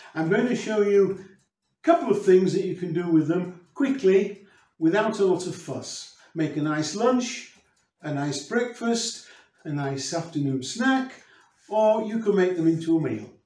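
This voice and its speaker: A man's high-pitched voice at a moderate pace, with audible room echo. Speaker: presenter. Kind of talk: cooking tutorial intro. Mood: warm and friendly. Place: kitchen.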